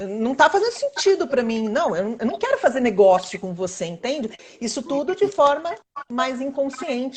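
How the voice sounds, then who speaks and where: The speaker talks at a moderate pace, with very wide swings in pitch. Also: woman, high pitch for a woman. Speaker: workshop facilitator. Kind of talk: webinar talk.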